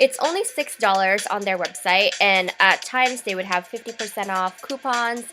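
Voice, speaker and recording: A woman speaks at a moderate pace and medium pitch, with ordinary pitch variation. Music plays in the background. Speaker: beauty vlogger. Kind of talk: product review.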